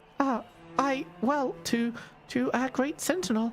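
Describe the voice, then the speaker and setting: In a put-on character voice, the speaker sounds squeaky and fairly high-pitched. The pace is fairly slow, with clear music in the background. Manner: mumbling, meek.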